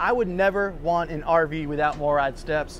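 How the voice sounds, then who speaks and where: With music in the background, a man speaks at a fairly slow pace with ordinary pitch variation. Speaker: RV reviewer. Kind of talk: casual tour presentation.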